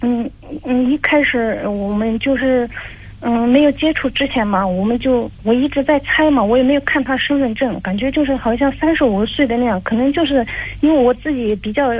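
A woman speaks at a high pitch and a moderate pace with ordinary pitch variation. Noticeable background noise is present. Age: 30s. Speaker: caller seeking marriage advice. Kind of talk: advice call. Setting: phone call. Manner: halting.

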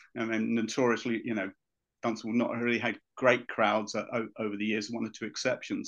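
Against a quiet background, a man with a southern English accent talks at a fairly quick pace. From Luton, England. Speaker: former football club official. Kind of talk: casual chat. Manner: halting.

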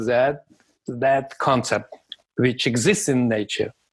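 With a Russian accent, a man of fairly high pitch speaks at a fairly slow pace. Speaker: sports scientist. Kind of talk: interview.

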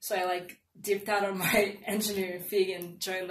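A woman speaks with a fairly low pitch. Room echo can be heard. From Nigeria, moved to Evanston, Illinois at 14. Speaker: engineering student. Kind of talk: casual interview.

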